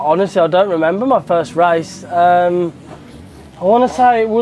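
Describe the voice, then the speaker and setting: A man speaks with a high pitch. Light background noise can be heard. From England, West Midlands (Stourbridge); West Midlands, England. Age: 20s. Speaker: motocross rider. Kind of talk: interview answers. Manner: casual, hesitant fillers. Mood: relaxed, jokey. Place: garage. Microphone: lapel.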